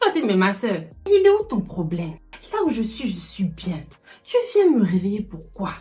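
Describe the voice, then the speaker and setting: Over noticeable background noise, a woman talks fairly slowly in a fairly high voice. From Ivory Coast and France. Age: 20s. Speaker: YouTuber. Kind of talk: casual talk to camera. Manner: lively, humorous.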